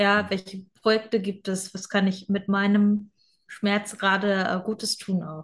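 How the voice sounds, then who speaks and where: Her voice is somewhat breathy, with a medium pitch. This woman speaks at a fairly slow pace with monotone, flat intonation. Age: 20s. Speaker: online fitness and mindset coach. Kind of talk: casual interview.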